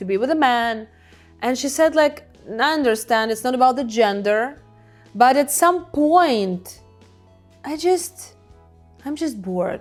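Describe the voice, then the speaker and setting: A woman's high voice with lively intonation, fairly slow pace and long, frequent pauses over background music. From Ukraine. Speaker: hypnotherapist. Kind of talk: casual talk to camera.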